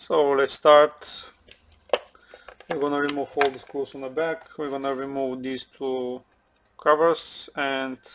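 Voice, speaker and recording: Noticeable background noise sits behind a man's voice. He speaks at a fairly slow pace with monotone, flat intonation. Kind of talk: tutorial. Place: workshop.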